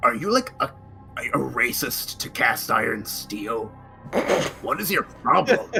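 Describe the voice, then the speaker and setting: A man puts on a guttural character voice at a fairly slow pace. Clear background noise runs behind him. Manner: confrontational, demanding.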